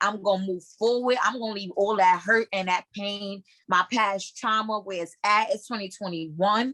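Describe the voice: A woman talks at a moderate pace with a medium pitch and ordinary pitch variation. Her tone is fairly bright, and the sound is dry and close with no echo.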